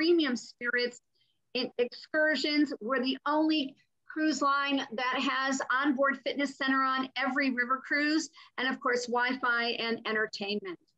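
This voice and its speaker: A woman uses a raised, projected voice with a high pitch and a bright, sharp tone. Her intonation is fairly even against a quiet background. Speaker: cruise line representative. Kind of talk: sales presentation on a panel. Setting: online panel call. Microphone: video call.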